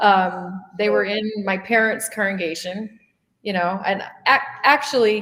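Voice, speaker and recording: With an American accent, a woman speaks in a plain, everyday voice at medium pitch, varying it in an ordinary way. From US Midwest / Colorado. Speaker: interviewer, former Jehovah's Witness. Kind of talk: interview.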